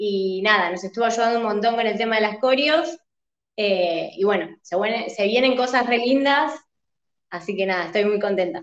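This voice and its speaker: A woman speaks in a plain, everyday voice, pitched fairly high. Her pitch varies in an ordinary way, and her pace is moderate. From Argentina, Buenos Aires province. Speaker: singer. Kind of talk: interview.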